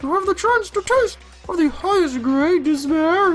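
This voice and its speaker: Someone performs a put-on character voice at an extremely high pitch and a moderate pace. Music plays in the background. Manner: gleefully despairing, theatrical.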